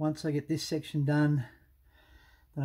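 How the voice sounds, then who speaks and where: A somewhat breathy man speaks at a moderate pace against a quiet background. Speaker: vlogger. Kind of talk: casual vlog chat. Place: garage. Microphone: phone near.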